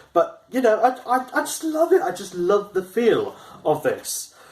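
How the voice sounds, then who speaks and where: This is a man speaking. His intonation is lively. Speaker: YouTuber reviewing video game gear. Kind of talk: unboxing video. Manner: halting, with stumbles and repeated words.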